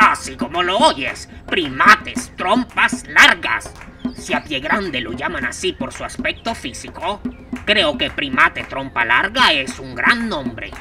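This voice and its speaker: A cartoonish character voice speaks at a fairly high pitch and a fairly slow pace. Clear music plays in the background. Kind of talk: children's puppet comedy. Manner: pompous, lecturing.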